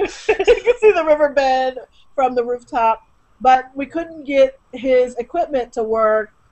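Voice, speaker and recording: The intonation is lively. The speaker is a woman. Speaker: guest. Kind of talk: interview answer. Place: home room. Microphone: webcam.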